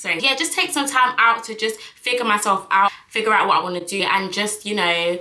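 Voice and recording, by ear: With audible room echo, a woman speaks at a medium pitch and moderate pace, her bright, sharp tone showing ordinary pitch variation.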